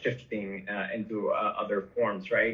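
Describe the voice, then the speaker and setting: Here a man speaks with a Spanish accent. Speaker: podcast host / interviewer. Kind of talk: casual interview chat. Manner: halting, many fillers and repetitions.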